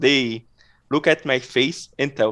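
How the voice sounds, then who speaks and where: Against a quiet background, a man speaks with a non-native accent. His pitch is fairly high. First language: not English. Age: 30s. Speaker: adult chess player. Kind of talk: interview. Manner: halting.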